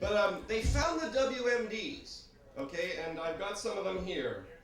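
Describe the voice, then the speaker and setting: The speaker's pitch swings very widely at a moderate pace. Noticeable background noise is present. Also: man. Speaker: spoken word poet. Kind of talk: satirical spoken word performance.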